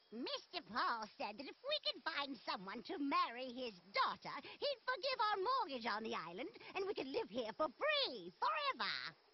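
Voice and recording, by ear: In a cartoonish character voice, a female-sounding speaker talks at a moderate pace with high pitch and hardly any pauses.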